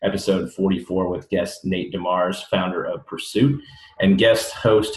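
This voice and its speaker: Noticeable background noise sits behind a man speaking fairly slowly at a fairly low pitch with ordinary pitch variation. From US Midwest. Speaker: podcast host. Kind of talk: casual interview. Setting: remote recording.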